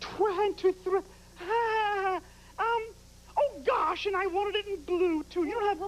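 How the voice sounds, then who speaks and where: A put-on character voice, female-sounding and extremely high in pitch, at a fairly slow pace with long, frequent pauses over clear background noise. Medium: comedy sketch. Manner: grand, affected, pushy.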